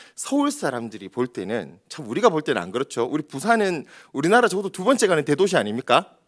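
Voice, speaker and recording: In a very clean recording with a silent background, a man with a strong Gyeongsang accent speaks at a fairly quick pace, using vocal fry and very wide pitch swings. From Daegu, South Korea. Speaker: pastor. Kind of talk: sermon.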